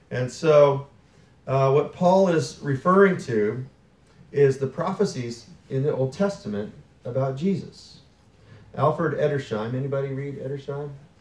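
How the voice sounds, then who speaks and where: A somewhat breathy man with a fairly high pitch talks at a moderate pace, with ordinary pitch variation and long, frequent pauses. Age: 2020. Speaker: pastor. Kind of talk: sermon. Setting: church. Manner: conversational.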